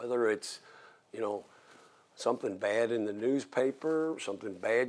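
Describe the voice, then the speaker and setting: A man of medium pitch speaks in a plain, everyday voice with ordinary pitch variation. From southern Indiana (Jeffersonville). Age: 60s. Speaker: mayor. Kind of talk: interview.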